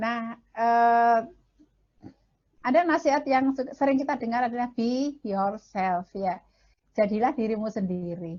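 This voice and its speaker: A woman's shrill, somewhat breathy voice moves at a fairly slow pace. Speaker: marriage counselor and speaker. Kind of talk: lecture.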